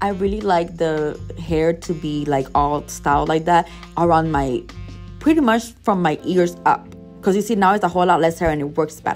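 Faint music plays in the background. The voice moves at a moderate pace with ordinary pitch variation. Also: woman, fairly low pitch for a woman. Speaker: beauty vlogger. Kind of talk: casual voice-over hair tutorial.

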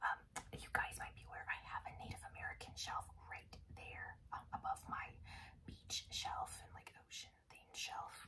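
Whispering at a fairly slow pace, a woman speaks. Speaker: ASMR creator. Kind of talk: ASMR rambling vlog; casual talk to camera. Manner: whispered. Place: home room.

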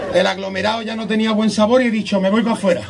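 Male speech at a fairly quick pace amid noticeable background noise. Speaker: stand-up comedian. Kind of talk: stand-up comedy monologue to live audience. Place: beach. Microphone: camera far.

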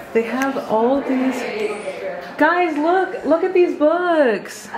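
A woman at a fairly slow pace with very wide pitch swings, over noticeable background noise. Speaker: book vlogger. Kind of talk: casual vlog narration. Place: shop. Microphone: phone near.

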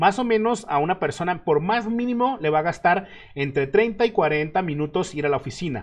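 Lively intonation at a moderate pace against a quiet background. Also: man, high pitch for a man. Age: 30s. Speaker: web developer and online instructor; online instructor. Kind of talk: live stream Q&A. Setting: live stream. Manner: casual. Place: home room.

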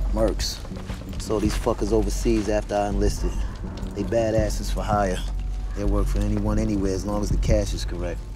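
A man at a fairly quick pace, dry with no echo, with music in the background. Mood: tense, wary. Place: street.

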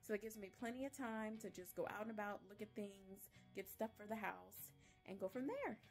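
A woman talks at a very fast pace with a Southern US accent and a fairly high pitch. Her pitch variation is ordinary, with faint music in the background. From Louisiana. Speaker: voice actor. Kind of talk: casual vlog talk to camera. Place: home room. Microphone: phone near.

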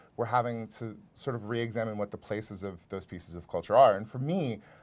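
A man with a fairly low pitch speaks with fairly even intonation. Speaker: stand-up comedian, author. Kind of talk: interview answer. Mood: reflective, candid. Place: studio.

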